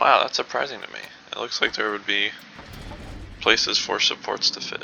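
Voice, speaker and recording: Soft-spoken delivery at a moderate pace, with noticeable background noise. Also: man. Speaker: gaming video creator. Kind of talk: gameplay commentary.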